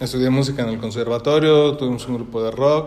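A man talks at a moderate pace with ordinary pitch variation, and audible room echo is present. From Mexico, Celaya (Guanajuato). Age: 30s. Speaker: wedding photographer. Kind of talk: casual chat.

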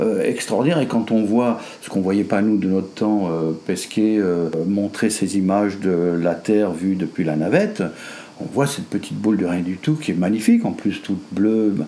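Amid noticeable background noise, a man with a fairly low pitch talks at a moderate pace with ordinary pitch variation. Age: 70s. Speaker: grandfather of the host. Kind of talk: casual family conversation. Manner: halting, repeats words.

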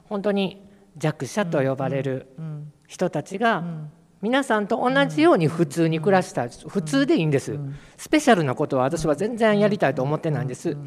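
The voice moves through very wide pitch swings at a moderate pace. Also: man, high pitch for a man. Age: 50s. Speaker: city council member and LGBTQ advocate. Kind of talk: panel discussion. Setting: public hall with audience.

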